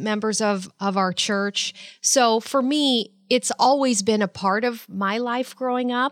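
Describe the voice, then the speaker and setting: Speaking at a fairly slow pace, a woman uses a normal speaking voice with ordinary pitch variation, recorded with a dry, close sound and no echo. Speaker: nonprofit fundraiser. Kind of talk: casual chat.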